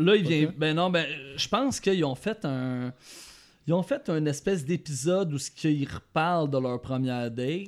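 At a moderate pace, a man speaks in a plain, everyday voice, fairly high in pitch with ordinary pitch variation. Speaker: podcast panelist. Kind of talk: casual chat.

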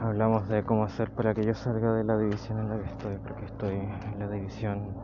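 Someone speaks at a fairly quick pace in a Chilean accent. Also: man. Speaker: personal diarist. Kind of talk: personal audio diary. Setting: outdoors, walking home.

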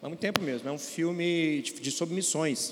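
Against noticeable background noise and audible room echo, a man with a fairly high pitch speaks at a moderate pace with ordinary pitch variation. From Brazil, Governador Valadares (Minas Gerais). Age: 40s. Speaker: pastor and court clerk. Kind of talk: church panel discussion. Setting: church stage with audience.

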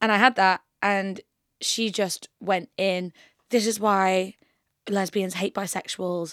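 A woman with a medium-pitched voice speaks in a monotone, flat intonation at a very slow pace. The recording is very clean with a silent background, and the sound is dry and close with no echo. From northern England, York. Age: 20s. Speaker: musician. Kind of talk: casual chat. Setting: studio.

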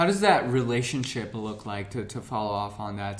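Through noticeable background noise, a man speaks very fast at a fairly low pitch with monotone, flat intonation. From India, moved to US as a child. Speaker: podcast host. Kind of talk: interview. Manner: halting.

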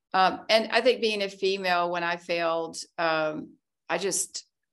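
A woman speaks at a fairly low pitch with an American accent, in an unremarkable speaking voice. The recording is very clean, with a silent background. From US South, Arkansas. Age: 60s. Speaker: tech entrepreneur. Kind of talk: casual interview, personal testimony.

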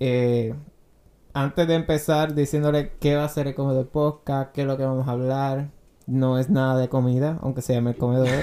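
Moderately paced, a man's speech sits at a fairly high pitch, dark and mellow in tone, with a monotone, flat intonation. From Puerto Rico, Guayama. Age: 20s. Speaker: podcast host. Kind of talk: casual chat.

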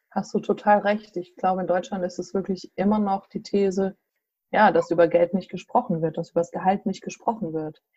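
Somewhat breathy, a woman at a medium pitch speaks at a fairly quick pace with fairly even intonation. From central Hesse, Germany. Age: 40s. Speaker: association chairwoman. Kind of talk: interview. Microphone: bad connection.

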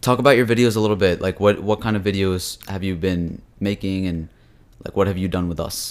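A man in a normal speaking voice talks at a fairly quick pace and fairly low pitch, keeping his intonation fairly even. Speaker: podcast host. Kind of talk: casual chat. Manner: bantering, jokey.

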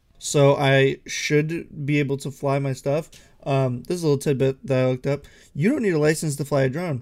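The speaker has an unremarkable speaking voice and talks at a fairly quick pace with fairly even intonation. The recording is very clean, with a silent background. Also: man, fairly high pitch for a man. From Ohio. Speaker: podcast co-host. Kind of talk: casual chat.

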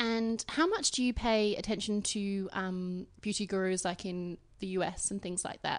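A woman with an Australian accent at a moderate pace, fairly even in intonation, with hardly any pauses. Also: medium pitch for a woman. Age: 20s. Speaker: podcast host and beauty journalist. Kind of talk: casual interview. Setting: guest's apartment.

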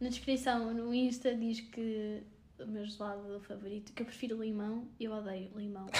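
A woman talks at a moderate pace with a fairly high pitch and monotone, flat intonation. Audible room echo and noticeable background noise are present. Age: 20s. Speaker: podcast co-host, marketing graduate. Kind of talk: casual chat.

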